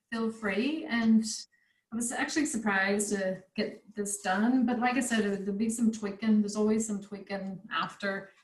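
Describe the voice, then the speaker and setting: A woman with an American accent speaks at a moderate pace in a fairly high, somewhat breathy voice with fairly even intonation. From United States. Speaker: craft tutor. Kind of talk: online craft workshop chat.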